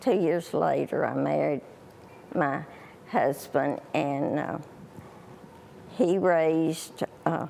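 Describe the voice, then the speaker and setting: Someone with a Southern US accent talks at a very slow pace, leaving long, frequent pauses. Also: woman. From US South, Alabama. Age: 80s. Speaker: elderly guest. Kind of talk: TV interview. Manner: halting.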